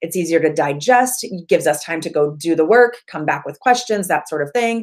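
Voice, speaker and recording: Fairly quick, lively speech from a woman with a fairly low pitch. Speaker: Facebook ads coach. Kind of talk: online workshop training video. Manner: fast.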